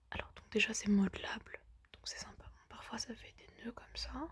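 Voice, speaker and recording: A woman speaking at a fairly slow pace. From lives in a country abroad, not France. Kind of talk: ASMR pillow talk to camera. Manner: soft-spoken, casual, chatty.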